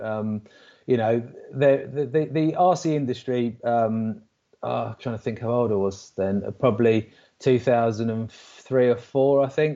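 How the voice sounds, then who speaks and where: In an English accent, the speaker talks at a moderate pace in a dark, mellow tone against a quiet background. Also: man. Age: 40s. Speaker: RC car racing driver. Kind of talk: casual chat. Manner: halting.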